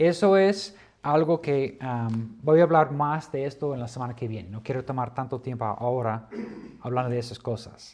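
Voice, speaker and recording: Here a man speaks at a medium pitch with ordinary pitch variation. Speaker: Bible teacher. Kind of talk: lecture. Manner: slow; hesitant.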